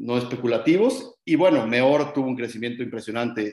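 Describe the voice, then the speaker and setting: With a normal speaking voice, a man talks at a medium pitch and moderate pace, his pitch varying in an ordinary way. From Mexico, Guadalajara. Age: 30s. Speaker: short-term rental company executive. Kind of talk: interview.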